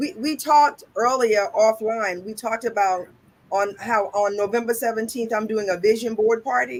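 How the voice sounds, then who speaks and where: A woman talks in an ordinary speaking voice with an American accent. Her pitch is fairly high, with ordinary variation, and her pace is moderate. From US South, South Carolina. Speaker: talk show host. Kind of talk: interview.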